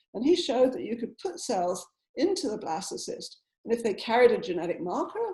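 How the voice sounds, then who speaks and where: A woman speaks with an English accent in a high pitch. Her pitch swings very widely. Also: fairly quick pace. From southern England. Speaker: scientist. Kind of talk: lecture.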